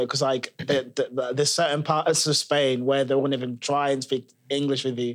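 Speaking at a fairly quick pace with hardly any pauses, a man holds a fairly high pitch and very even loudness. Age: young. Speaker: podcast co-host. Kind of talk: casual chat.

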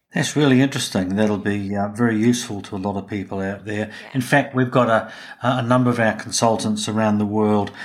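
Speaking with a New Zealand accent, a man keeps a fairly quick pace and a fairly low pitch. His intonation is fairly even. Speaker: podcast host and business consultant. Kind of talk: interview. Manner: halting.

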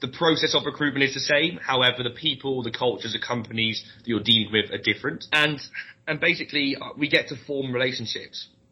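A man's medium-pitched voice with a southern English accent and fairly even intonation. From London. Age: 20s. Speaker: recruitment trainer. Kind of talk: interview.

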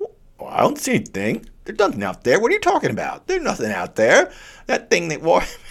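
A put-on character voice rushes along at a very fast pace. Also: man. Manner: dismissive, denying.

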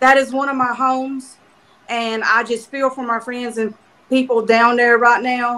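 A woman with an American accent speaks at a fairly slow pace in a high, bright, sharp voice with monotone, flat intonation. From South Carolina, US. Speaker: author and show sponsor. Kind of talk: promotional announcement.

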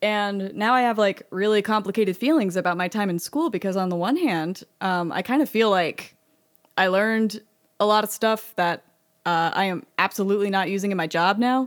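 Speaking with an unremarkable speaking voice, a woman uses a medium pitch and ordinary pitch variation at a moderate pace. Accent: American. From Texas, Austin. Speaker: sound designer and game composer. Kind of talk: interview conversation.

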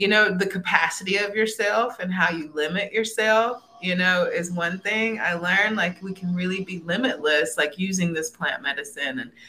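A woman with an American accent, moderate pace and ordinary pitch variation, amid noticeable background noise. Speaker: herbalist and holistic educator. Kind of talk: casual interview. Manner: animated.

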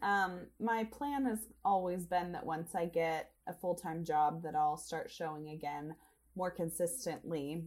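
Here is an ordinary speaking voice. A woman talks fairly slowly at a fairly low pitch, with lively intonation. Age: 20s. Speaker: assistant editor of a horse magazine. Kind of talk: interview. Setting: podcast recording.

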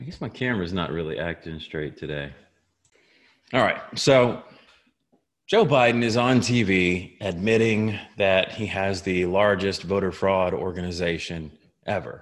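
A man speaks fairly slowly over a quiet background, his pitch varying in an ordinary way. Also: fairly low pitch for a man. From US, rural wooded area. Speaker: podcast host. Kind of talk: casual political commentary monologue. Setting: home basement, on camera. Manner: rambling, with many fillers.

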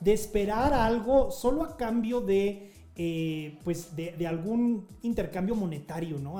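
A man's high-pitched voice with lively intonation at a fairly slow pace, with noticeable background noise and audible room echo. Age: 40s. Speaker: podcast host and nonprofit founder. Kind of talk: live group discussion on social audio. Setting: live online audio room.

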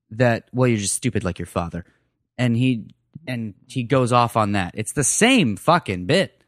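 A man with a plain, everyday voice and an American accent, medium-pitched with lively intonation at a moderate pace, dry and close with no echo on a very clean recording with a silent background. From US Southwest, Phoenix. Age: 20s. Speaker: comedian. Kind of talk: casual chat.

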